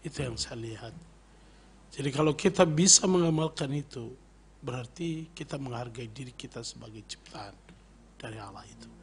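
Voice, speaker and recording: Over light background noise, a man speaks at a fairly quick pace in a somewhat breathy voice with ordinary pitch variation. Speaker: pastor. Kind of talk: radio interview. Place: studio. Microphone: studio mic.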